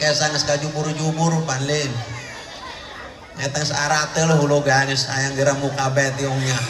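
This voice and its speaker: The man speaks in a flat monotone at a fairly high pitch and a moderate pace. There is audible room echo and noticeable background noise. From Banten, born in Baros. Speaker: Islamic preacher (kyai). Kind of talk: humorous sermon. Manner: blunt, coarse-sounding speech.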